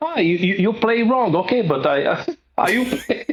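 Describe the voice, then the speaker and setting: A man speaks with a Brazilian accent. His pitch swings very widely. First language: Portuguese. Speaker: guitarist. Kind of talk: interview. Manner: halting.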